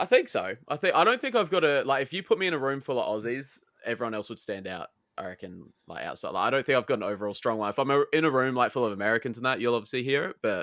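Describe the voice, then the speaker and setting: A man with a slight Australian accent at a very fast pace, in a dry, close sound with no echo. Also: medium pitch for a man, lively intonation. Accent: mild Australian. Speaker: podcast guest. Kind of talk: casual chat.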